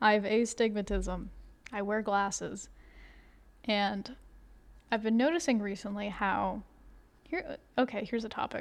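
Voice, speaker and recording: Soft-spoken and fairly high in pitch, a woman talks at a moderate pace with ordinary pitch variation and long, frequent pauses. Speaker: crafting video creator. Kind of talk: casual chat. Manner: halting.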